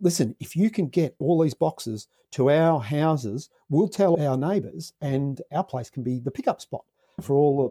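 Speaking at a moderate pace with an Australian accent, a man has a dark, mellow tone and a fairly high pitch, recorded with a dry, close sound and no echo. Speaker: social entrepreneur, former dairy farmer. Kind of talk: interview. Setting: podcast interview.

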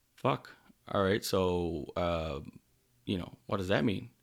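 A man speaks with a Newfoundland accent. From Newfoundland, Canada. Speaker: podcast host, electrician. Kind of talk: casual monologue. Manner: rambling, off the cuff.

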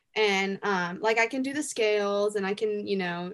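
A woman speaks in a Southern accent. Her pitch sits in the medium range. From US South, Greenville, South Carolina. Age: young. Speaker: singer-songwriter. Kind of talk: casual interview.

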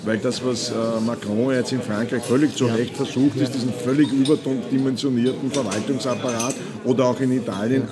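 Over noticeable background noise and audible room echo, a man with a medium pitch speaks at a moderate pace with fairly even intonation. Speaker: management consultant and author. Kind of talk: casual chat. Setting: coffee house.

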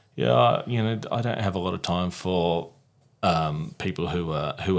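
A man with an Australian accent speaks at a moderate pace, his very deep, low pitch showing ordinary variation. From South Australia (Mount Gambier), Italian family. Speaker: PR consultant. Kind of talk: casual interview chat.

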